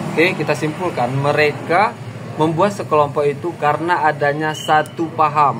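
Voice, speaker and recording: Over noticeable background noise, a man with a fairly high pitch talks at a moderate pace, his intonation fairly even and his loudness very even. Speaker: YouTuber discussing social issues. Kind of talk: casual commentary monologue. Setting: outdoors by a main road, at a coffee spot.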